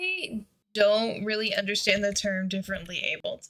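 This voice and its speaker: A woman with an American accent at a moderate pace. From US South. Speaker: streamer, wildlife biology student. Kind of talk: casual chat during gameplay stream.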